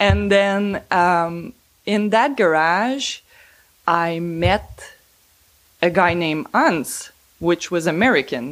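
Very slow speech in a Quebec accent, with lively intonation, long, frequent pauses and a very clean recording with a silent background. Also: woman, fairly low pitch for a woman. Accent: Québécois French accent in English. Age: 40s. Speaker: van owner. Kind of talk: casual interview storytelling. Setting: at her home.

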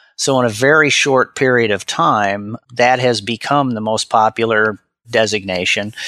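With an American accent, a man speaks at a fairly slow pace in a bright, sharp tone and a medium pitch. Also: dry, close sound with no echo. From US Midwest (Omaha, Nebraska). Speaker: college president and finance educator. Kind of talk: interview.

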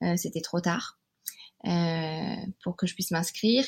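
A woman talks at a moderate pace, captured in a very clean recording with a silent background. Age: 30s. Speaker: naturopath and mother. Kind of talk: testimony. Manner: hesitant, many fillers.

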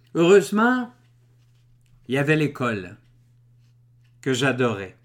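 On a very clean recording with a silent background, a man with a Quebec accent speaks at a fairly slow pace. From Quebec, Drummondville. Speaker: author and public speaker. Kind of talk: reading aloud.

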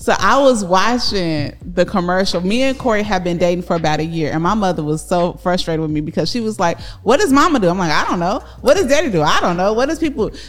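Over noticeable background noise, a woman with a medium-pitched voice talks at a very fast pace with lively intonation and hardly any pauses. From Chicago. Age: 40s. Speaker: podcast co-host, real estate entrepreneur. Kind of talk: casual family interview. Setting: studio. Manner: animated.

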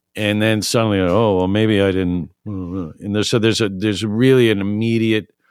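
Recorded very cleanly with a silent background, a man with an unremarkable speaking voice and an American accent talks at a moderate pace, with a fairly low pitch and fairly even intonation. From New York City. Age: 40s. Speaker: music venue owner. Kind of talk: casual interview. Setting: studio.

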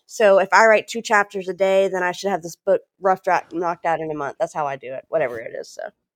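A woman with a Southern US accent talks at a very fast pace with hardly any pauses, her medium pitch carried by lively intonation and big swings in loudness. The recording is very clean, with a silent background and a dry, close sound with no echo. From Louisiana. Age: 40s. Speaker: author and speaker. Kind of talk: interview.

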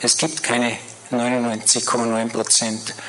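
Amid noticeable background noise and audible room echo, a man speaks with medium pitch. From Vienna, Austria (Floridsdorf). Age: 60s. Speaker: guest speaker sharing conversion story. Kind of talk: testimony. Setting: church service stage with audience.

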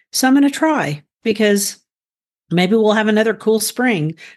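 A woman with an unremarkable speaking voice and a fairly high pitch. She talks at a fairly quick pace with ordinary pitch variation. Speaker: gardening podcast host. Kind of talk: casual chat.

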